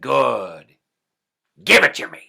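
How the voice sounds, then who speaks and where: This man puts on a raspy character voice. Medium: solo performance. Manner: curt, demanding.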